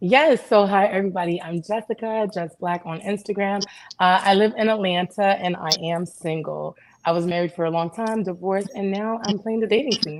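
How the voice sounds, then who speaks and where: A normal speaking voice from a woman, medium in pitch, with ordinary pitch variation at a moderate pace. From Canada. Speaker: panelist on dating. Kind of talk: panel discussion.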